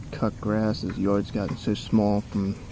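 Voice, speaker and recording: A man mumbles quietly in a fairly low pitch. His tone is dark and mellow. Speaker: hobby mechanic. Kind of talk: casual talk while working. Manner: mumbling, quiet.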